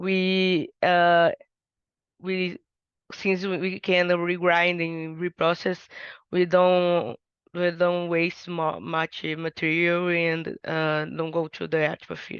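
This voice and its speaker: A woman with a Portuguese accent speaks at a very slow pace in a fairly low pitch with monotone, flat intonation, her voice dry and close with no echo over a quiet background. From Brazil. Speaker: undergraduate researcher. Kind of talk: research presentation. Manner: halting, many fillers and restarts.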